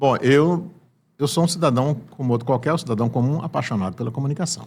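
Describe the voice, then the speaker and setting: A man's fairly high, somewhat breathy voice at a very fast pace with ordinary pitch variation. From Sergipe, Brazil (Santo Amaro das Brotas). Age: 70s. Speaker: veteran journalist and broadcaster. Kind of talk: casual interview. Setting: studio.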